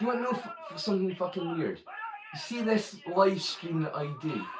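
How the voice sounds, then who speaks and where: A man with a Scottish accent speaks in a high pitch over noticeable background noise. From Scotland. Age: 40s. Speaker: live streamer. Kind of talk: casual chat. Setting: live stream. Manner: animated.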